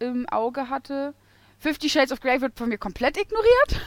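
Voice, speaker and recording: A woman with a high-pitched voice. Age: 20s. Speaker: podcast co-host. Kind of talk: casual chat.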